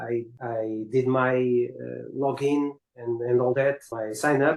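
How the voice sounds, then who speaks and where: A man speaks with a Portuguese accent. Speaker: caller, content creator. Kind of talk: casual chat. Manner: halting.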